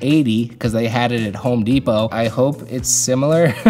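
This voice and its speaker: A man at a fairly quick pace with fairly even intonation, faint music in the background. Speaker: youtuber building a studio. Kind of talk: casual vlog chat. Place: hall.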